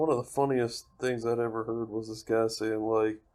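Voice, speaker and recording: With an American accent, this man talks at a moderate pace in a medium pitch, his pitch varying in an ordinary way. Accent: slight Southern US accent, somewhat masked. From Alabama. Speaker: podcast host, pipe tobacco reviewer. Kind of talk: casual chat.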